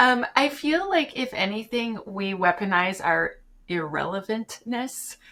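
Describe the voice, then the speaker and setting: Over noticeable background noise, a woman speaks at a fairly slow pace with a fairly high pitch and lively intonation. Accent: slight Canadian. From Canada. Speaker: application security educator. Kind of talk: podcast interview. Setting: remote call from home.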